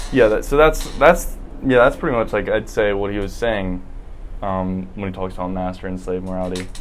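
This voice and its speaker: Audible room echo surrounds a man with an American accent and a fairly low pitch. He talks at a moderate pace with ordinary pitch variation. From South Carolina, Columbia. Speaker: podcast guest, former philosophy student. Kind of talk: casual chat. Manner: halting.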